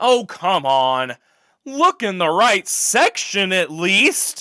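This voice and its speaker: A put-on character voice at middle pitch, delivered at a very slow pace. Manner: exaggerated, jokey, exasperated.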